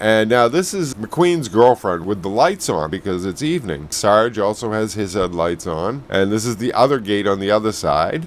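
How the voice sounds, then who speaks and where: A man's fairly low voice, an unremarkable speaking voice, with lively intonation, a moderate pace and hardly any pauses. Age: 60s. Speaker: travel vlogger. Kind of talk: video narration. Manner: casual, chatty.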